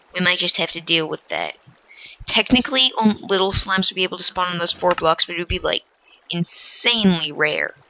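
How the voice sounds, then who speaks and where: Background noise is noticeable. The speech moves at a fairly quick pace. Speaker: gaming video creator. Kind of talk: game commentary. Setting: at home. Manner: quiet, hushed; awkward.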